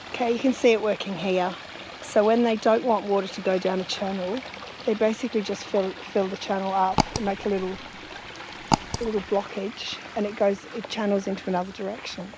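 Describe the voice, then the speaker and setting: A fairly quick delivery in an Australian accent, with noticeable background noise. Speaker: travel vlogger. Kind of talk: casual vlog narration. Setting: outdoors.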